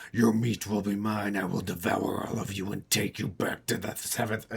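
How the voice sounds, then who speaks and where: A put-on character voice with monotone, flat intonation at a moderate pace. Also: man, fairly low pitch for a man. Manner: menacing, vile.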